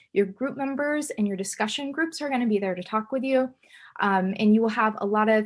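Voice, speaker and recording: Fairly high-pitched, somewhat breathy woman with lively intonation at a fairly quick pace, on a very clean recording with a silent background. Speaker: chemistry instructor. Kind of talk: lecture. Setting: recorded video lecture. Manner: fast.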